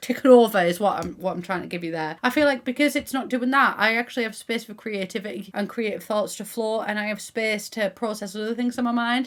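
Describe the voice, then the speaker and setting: Upbeat in tone, a woman with a Teesside accent and a fairly high pitch races along at a very fast pace with hardly any pauses and ordinary pitch variation. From Middlesbrough, England. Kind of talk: casual gaming commentary to camera. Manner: chatty, upbeat.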